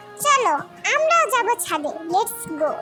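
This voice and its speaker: A woman puts on a squeaky character voice, extremely high in pitch with very wide pitch swings, while clear music plays in the background. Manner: flat, stiff, mechanical.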